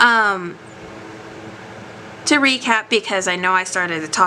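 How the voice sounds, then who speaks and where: Against noticeable background noise, a woman of medium pitch talks fairly slowly with lively intonation. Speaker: tarot card reader. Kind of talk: tarot reading to camera.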